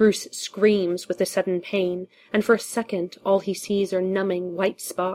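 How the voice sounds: What we hear is a natural reading voice.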